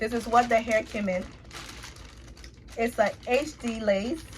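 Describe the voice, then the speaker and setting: In a Liberian accent, a woman talks at a very slow pace. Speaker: beauty vlogger. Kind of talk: casual tutorial vlog. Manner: animated.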